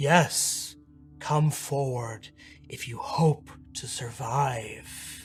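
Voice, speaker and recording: Clear music plays in the background. A man speaks very slowly in a put-on character voice with a fairly high pitch. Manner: ominous, beckoning.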